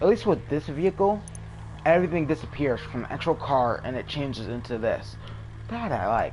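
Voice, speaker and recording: A man puts on a shaky character voice at a medium pitch, talking at a fairly quick pace with music in the background. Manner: shaky voice.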